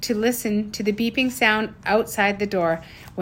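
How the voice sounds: What we hear is a natural reading voice.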